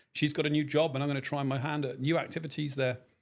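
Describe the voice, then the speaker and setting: A man talks at a very fast pace with a British accent. His pitch is fairly high. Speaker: army reservist officer. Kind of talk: interview podcast.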